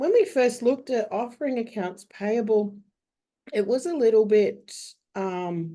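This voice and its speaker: A woman with an Australian accent, fairly high pitch, fairly slow pace and lively intonation. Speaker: bookkeeper. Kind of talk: webinar panel discussion.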